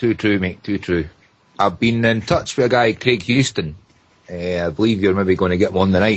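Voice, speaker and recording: Speaking with a Scottish accent, a man uses a fairly low voice with ordinary pitch variation at a moderate pace. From Scotland, Edinburgh area. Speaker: caller. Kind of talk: casual chat.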